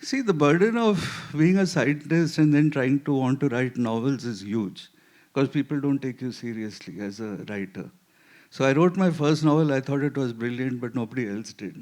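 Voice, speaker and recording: A man with a medium pitch talks in a normal speaking voice at a moderate pace. His intonation is lively, and the background is quiet. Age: 60s. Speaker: scientist and novelist. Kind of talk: literary festival panel discussion.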